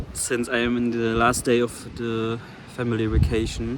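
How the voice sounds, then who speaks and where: A man with a German accent speaks at a fairly slow pace in a medium pitch, with noticeable background noise. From Germany. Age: 20s. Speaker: vlogger. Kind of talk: personal vlog monologue. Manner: halting.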